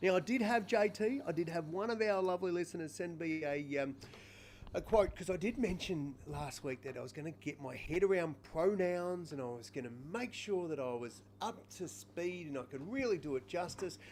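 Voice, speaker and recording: This man talks at a moderate pace with an Australian accent and a high pitch. His tone is animated, with very wide pitch swings. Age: 40s. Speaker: podcast co-host, Paralympian. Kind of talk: casual chat. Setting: live stream. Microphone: sound problems at start of show.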